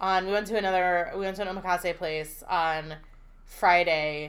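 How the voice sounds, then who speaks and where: With an American accent, a woman speaks at medium pitch with ordinary pitch variation amid audible room echo. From Pennsylvania Dutch country. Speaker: food podcast co-host. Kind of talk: casual chat.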